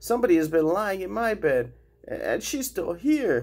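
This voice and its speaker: A man in a put-on character voice, high in pitch, at a moderate pace. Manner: storybook reading.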